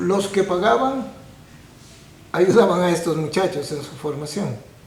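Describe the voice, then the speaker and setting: A man's high-pitched voice with lively intonation at a fairly slow pace, amid audible room echo and noticeable background noise. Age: 70s. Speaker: painter and art teacher. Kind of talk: interview.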